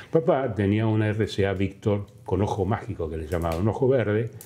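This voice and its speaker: Speaking with a Rioplatense accent, a man keeps a fairly slow pace. His tone is dark and mellow, his pitch fairly low. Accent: Argentine Rioplatense Spanish. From Argentina, Balcarce (Buenos Aires province). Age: 80s+. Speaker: former museum foundation president. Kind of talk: interview testimony. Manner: halting, many fillers.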